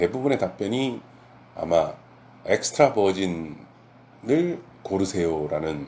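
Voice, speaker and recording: At a fairly slow pace with long, frequent pauses, a man speaks in a very deep, low pitch with a dark, mellow tone. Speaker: olive oil importer. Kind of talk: informational talk to camera. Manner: hesitant with fillers.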